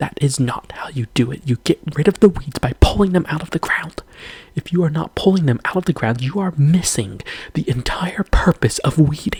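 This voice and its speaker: A whisper moves at a moderate pace while noticeable background noise carries on. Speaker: video creator. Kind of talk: rant. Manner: whispering.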